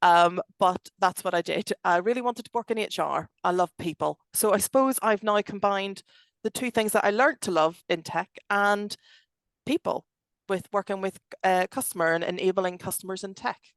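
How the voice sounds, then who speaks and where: Recorded dry and close with no echo over a quiet background, a woman speaks with a Belfast accent. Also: medium pitch for a woman, ordinary pitch variation, moderate pace. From Northern Ireland, Belfast. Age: 40s. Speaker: tech company director. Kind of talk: podcast interview. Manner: animated.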